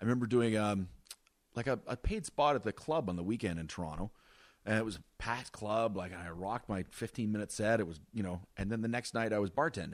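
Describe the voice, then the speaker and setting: On a very clean recording with a silent background, a man with a normal speaking voice talks at a fairly quick pace. His pitch is fairly low, with ordinary variation. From northern Ontario, Wawa. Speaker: stand-up comedian. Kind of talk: casual chat. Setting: host's home.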